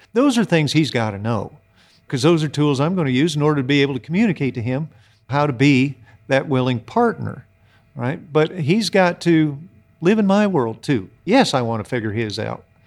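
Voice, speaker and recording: With an American accent and a normal speaking voice, a man talks at a fairly high pitch and moderate pace with lively intonation, on a very clean recording with a silent background. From US Midwest (Iowa). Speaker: horse trainer. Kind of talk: casual interview chat.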